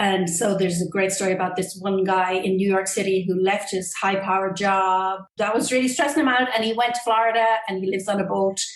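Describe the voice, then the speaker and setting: With an Irish accent, a woman talks at a moderate pace and a medium pitch with ordinary pitch variation. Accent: Irish lilt. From Ireland. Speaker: acupuncturist and Qigong instructor. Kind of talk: interview answer.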